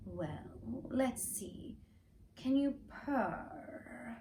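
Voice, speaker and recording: A female-sounding voice speaks at a high pitch for a woman in a put-on character voice. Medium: read story. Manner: suspicious, hissing.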